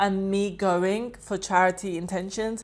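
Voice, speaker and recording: A woman with a London accent is heard in a very clean recording with a silent background. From London, England. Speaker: vlogger. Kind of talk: personal reflective monologue. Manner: expressive.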